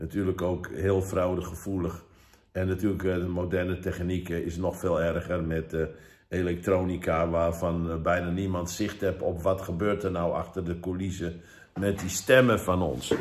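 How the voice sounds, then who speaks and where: Moving at a moderate pace, a man with a very deep, low pitch speaks in a monotone, flat intonation. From Netherlands. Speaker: evangelist. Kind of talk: sermon. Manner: halting. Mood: earnest, urging. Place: home room. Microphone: phone near.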